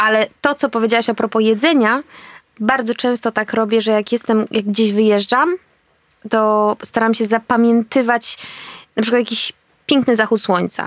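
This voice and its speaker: A woman speaks at a moderate pace with a fairly high pitch and fairly even intonation. The sound is dry and close with no echo, and the loudness is very even. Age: 30s. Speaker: actress and reporter. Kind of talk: casual chat. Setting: eating while talking.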